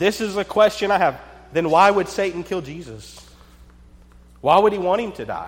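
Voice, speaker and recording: A man with a high pitch and ordinary pitch variation speaks at a moderate pace, leaving long, frequent pauses. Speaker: preacher. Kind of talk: sermon.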